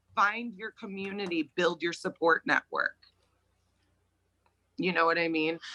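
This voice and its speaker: Loud and animated, this voice has a bright, sharp tone, lively intonation, a moderate pace and a dry, close sound with no echo. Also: woman. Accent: American. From Connecticut, US. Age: 30s. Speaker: podcast guest. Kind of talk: interview conversation.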